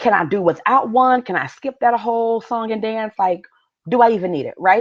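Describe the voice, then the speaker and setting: An ordinary speaking voice with lively intonation keeps a moderate pace, recorded dry and close with no echo against a quiet background. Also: woman. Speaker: business coach. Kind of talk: live webinar masterclass. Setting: live stream.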